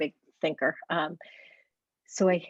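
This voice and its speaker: Quiet and fairly low-pitched, a woman speaks with fairly even intonation in a dry, close sound with no echo. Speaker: parent. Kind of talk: consultation. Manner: quiet, lowered voice; hesitant, halting.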